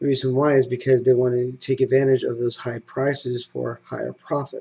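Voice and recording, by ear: With vocal fry and a slightly husky edge, a man talks at medium pitch and a moderate pace, his dark, mellow tone showing little pitch movement.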